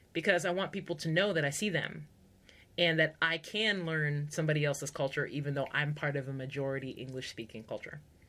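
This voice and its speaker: A woman with an American accent and a very deep, low pitch speaks at a fairly quick pace in an animated, bright, sharp tone with ordinary pitch variation. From United States. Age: 40s. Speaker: podcast host, culture coach. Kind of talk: solo podcast talk, teaching. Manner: animated, conversational.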